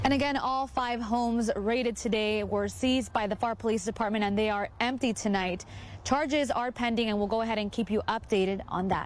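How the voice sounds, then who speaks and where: Using an ordinary speaking voice, a woman talks at a fairly quick pace and a fairly high pitch with fairly even intonation. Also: very even loudness. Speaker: TV news reporter. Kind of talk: TV news report.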